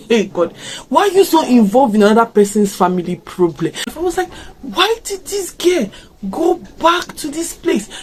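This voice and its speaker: With an African accent, a woman speaks at a high pitch with very wide pitch swings over noticeable background noise. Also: moderate pace. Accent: African accent coming out. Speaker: YouTuber reacting to a series. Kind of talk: casual reaction video. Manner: animated.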